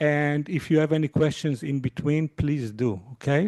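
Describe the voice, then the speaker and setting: A man's dark, mellow voice at a fairly slow pace, in a dry, close sound with no echo. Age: 50s. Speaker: university lecturer. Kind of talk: lecture. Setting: lecture hall with audience and Zoom. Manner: hesitant, many fillers.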